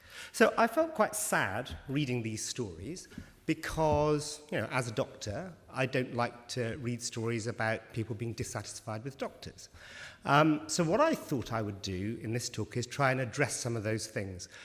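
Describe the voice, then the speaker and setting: Lively intonation runs through this man's speech. There is a somewhat breathy quality to it. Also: medium pitch for a man, moderate pace, very clean recording, silent background. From West Country (Bristol), England. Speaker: doctor, rheumatology researcher. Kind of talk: conference talk to patients. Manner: conversational, informal.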